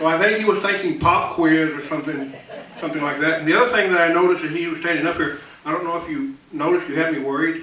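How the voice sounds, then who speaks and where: A man with a West Texas accent speaks in a high pitch with ordinary pitch variation, with audible room echo and noticeable background noise. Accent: West Texas drawl. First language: Choctaw. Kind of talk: public talk. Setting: auditorium with audience. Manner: casual, conversational.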